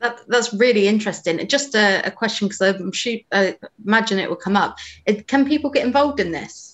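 At a fairly quick pace, an ordinary speaking voice comes through with ordinary pitch variation. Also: woman. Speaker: webinar moderator and events manager. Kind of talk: moderated panel Q and A. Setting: online webinar recording.

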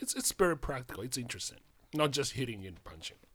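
A man with a Japanese accent on a very clean recording with a silent background. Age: 60s. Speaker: karate practitioner. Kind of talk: casual chat. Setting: studio. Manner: halting.

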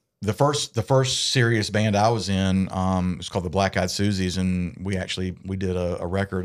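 In a Southern US accent, a man speaks at a fairly quick pace with a very deep, low pitch. The recording is very clean, with a silent background. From US South, south Georgia (Valdosta). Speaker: musician. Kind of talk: casual chat.

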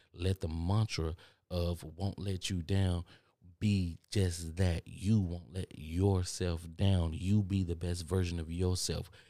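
A man with an American accent speaks in a very deep, low pitch, his dark, mellow tone delivered in a flat monotone over a very clean recording with a silent background. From Texas. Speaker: podcast host. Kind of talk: motivational monologue. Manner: fast talker; casual, repetitive.

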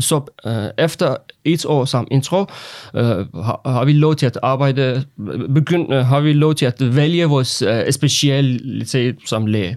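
On a very clean recording with a silent background, a man with a Persian accent speaks at a very slow pace and very even loudness. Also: medium pitch for a man, ordinary pitch variation. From Iran. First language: Persian (speaking Danish). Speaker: foreign doctor awaiting authorization. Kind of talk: interview. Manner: halting.

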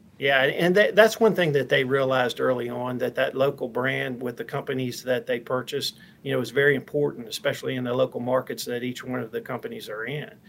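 Hardly pausing, a speaker with an American accent goes at a very fast pace over noticeable background noise. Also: man, medium pitch for a man, ordinary pitch variation. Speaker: company president. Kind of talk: interview conversation.

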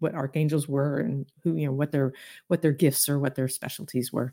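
A fairly quick woman's voice with a Southern US accent on a very clean recording with a silent background. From US South. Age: 60s. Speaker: intuitive healer and author. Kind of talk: casual chat.

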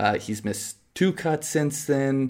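At a fairly slow pace, a man with a Canadian accent speaks at medium pitch in a plain, everyday voice, on a very clean recording with a silent background. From Canada. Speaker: golf podcast co-host. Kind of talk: casual chat.

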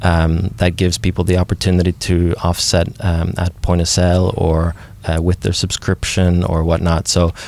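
At a moderate pace, a man talks in a very deep, low pitch. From Norway. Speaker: climate tech entrepreneur. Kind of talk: interview.

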